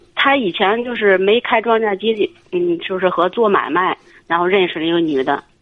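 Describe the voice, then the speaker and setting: A medium-pitched woman's voice at a moderate pace with ordinary pitch variation. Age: 30s. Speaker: caller to advice radio show. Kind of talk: call-in advice conversation. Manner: hesitant.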